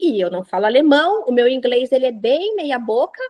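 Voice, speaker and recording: In a dry, close recording with no echo, a woman speaks in an animated tone. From Brazil. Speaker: printing industry professional. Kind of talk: interview.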